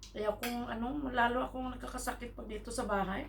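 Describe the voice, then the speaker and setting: Amid audible room echo and noticeable background noise, a woman talks at a fairly quick pace. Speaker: vlogger. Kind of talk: casual vlog chat.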